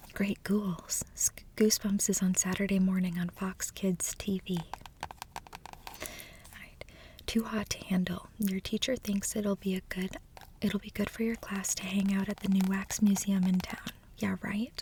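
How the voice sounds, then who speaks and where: A soft-spoken woman in a flat monotone, with long, frequent pauses and noticeable background noise. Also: medium pitch for a woman, fairly slow pace. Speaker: ASMR creator. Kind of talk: reading book blurbs aloud, casual.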